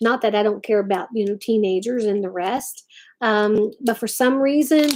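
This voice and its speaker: In an Appalachian accent, this voice has a dark, mellow tone and fairly even intonation. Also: woman. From West Virginia. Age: 50s. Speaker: craft channel host. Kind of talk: casual live-stream chat.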